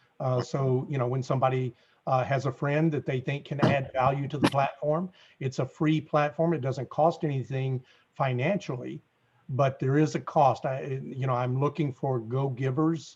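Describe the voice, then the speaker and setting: Fairly even in intonation, a man's fairly high, somewhat breathy voice comes with a Southern US accent. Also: moderate pace. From US South. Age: 60s. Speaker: apartment investor network founder. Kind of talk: interview.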